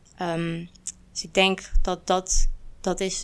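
Recorded very cleanly against a silent background, a woman talks at medium pitch with monotone, flat intonation. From Netherlands. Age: 20s. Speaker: student and activist. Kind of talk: panel discussion.

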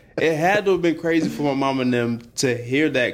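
This man has a normal speaking voice and an American accent. He talks at a fairly quick pace. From Alabama, US South. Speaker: architect and music producer. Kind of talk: casual chat.

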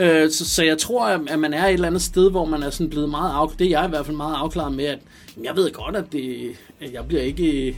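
Music plays in the background as a man speaks at a fairly quick pace. His pitch is fairly high. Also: ordinary pitch variation. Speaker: rapper and producer. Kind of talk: interview.

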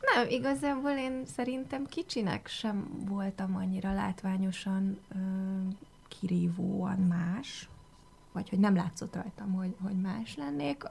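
This woman's voice is somewhat breathy. She speaks at a very slow pace. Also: medium pitch for a woman, ordinary pitch variation. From Hungary. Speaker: foreign affairs journalist. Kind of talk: radio interview. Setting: radio studio.

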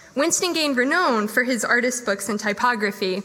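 Noticeable background noise sits under the woman's fairly high pitch. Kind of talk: event introduction. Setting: live event in a room with audience.

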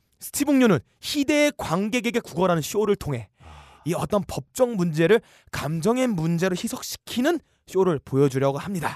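Against a quiet background, a man speaks at a moderate pace in a high pitch with very wide pitch swings. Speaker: podcast co-host. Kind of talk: comedic casual chat.

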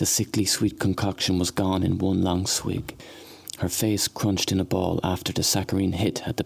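Here someone reads in a natural reading voice.

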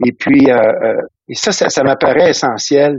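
A man speaks at a fairly high pitch. He talks at a very slow pace. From Quebec (Trois-Rivières, Valleyfield). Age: 60s. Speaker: retired school principal. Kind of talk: interview conversation. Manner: halting, many repetitions.

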